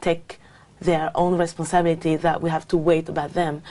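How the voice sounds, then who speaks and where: Her intonation monotone and flat, a woman with a French accent speaks at a fairly low pitch. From France. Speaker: language exam candidate. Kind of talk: speaking exam interview. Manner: halting, many fillers.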